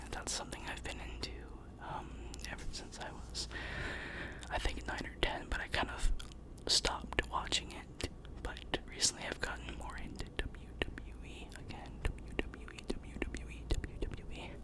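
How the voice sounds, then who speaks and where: A man whispers at a fairly slow pace against noticeable background noise. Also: big swings in loudness. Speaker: ASMR content creator. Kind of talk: ASMR trigger-word whisper ramble to camera. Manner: close-up whisper, repeating words.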